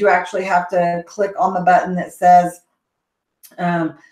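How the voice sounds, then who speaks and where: A woman with a Texas accent speaks at a fairly slow pace. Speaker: education consultant, summit host. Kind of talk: live Q&A webinar. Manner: casual, hesitant with many fillers.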